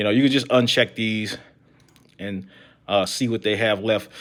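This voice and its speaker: A man speaks at a moderate pace with a medium pitch and ordinary pitch variation. The recording is very clean, with a silent background. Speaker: tech YouTuber. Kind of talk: live stream screen-share tech talk. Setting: live stream. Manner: halting, many fillers. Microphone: close to the mic.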